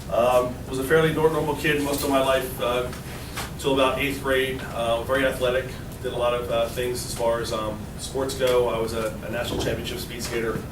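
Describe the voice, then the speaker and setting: Medium-pitched man with an American accent, fairly quick and monotone, flat in intonation, with noticeable background noise and audible room echo. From suburban Philadelphia, Pennsylvania. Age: 40s. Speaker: recovering addict speaking to students. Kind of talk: talk to a class of students, personal story. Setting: classroom. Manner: hesitant, many fillers.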